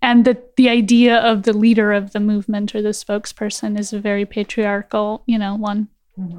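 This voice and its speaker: A woman with an American accent, fairly high-pitched and fairly quick, with monotone, flat intonation and a dry, close sound with no echo. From Los Angeles, US. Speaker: writer and artist. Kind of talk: casual interview conversation.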